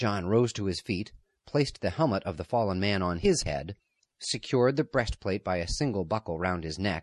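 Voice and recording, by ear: Someone is reading aloud in a natural voice with lively intonation. Behind it, the background is quiet.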